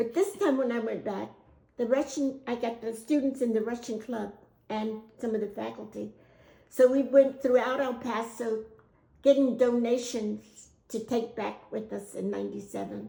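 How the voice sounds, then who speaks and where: A woman speaks at a moderate pace and fairly high pitch, with vocal fry. Her intonation stays fairly even while her loudness swings widely. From United States. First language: Spanish. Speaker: oral history interviewee. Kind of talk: interview answer.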